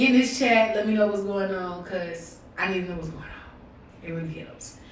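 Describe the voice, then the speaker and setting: A woman at a medium pitch and moderate pace, with ordinary pitch variation, audible room echo and noticeable background noise. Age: 20s. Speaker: podcast host and streamer. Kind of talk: casual livestream podcast intro. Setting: live stream. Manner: animated.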